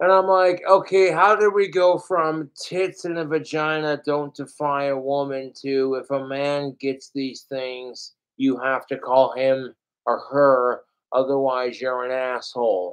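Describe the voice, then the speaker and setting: With an ordinary speaking voice, a man speaks at a fairly slow pace and a fairly high pitch, using ordinary pitch variation. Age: 30s. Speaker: livestreamer. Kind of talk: livestream rant. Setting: livestream.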